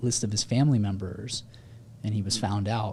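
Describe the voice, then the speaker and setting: With a dark, mellow tone and a slight breathiness, a man talks at a medium pitch, his intonation fairly even. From Houston, Texas. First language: Spanish. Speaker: pediatrician. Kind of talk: podcast interview. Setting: studio.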